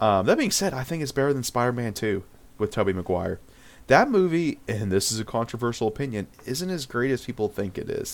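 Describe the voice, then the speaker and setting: A man's unremarkable speaking voice, medium in pitch, at a fairly quick pace with lively intonation. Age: 20s. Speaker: podcast co-host. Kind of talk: casual chat.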